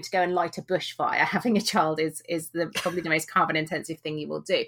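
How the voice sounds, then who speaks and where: This woman speaks very fast with a British accent. Her voice is fairly low, with fairly even intonation. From UK. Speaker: author and blogger, former vet. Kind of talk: interview.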